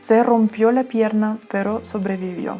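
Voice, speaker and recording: A woman speaks at a fairly slow pace, with a fairly high pitch and fairly even intonation. Noticeable background noise is present. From Ukraine. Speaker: travel vlogger. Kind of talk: storytime talk to camera.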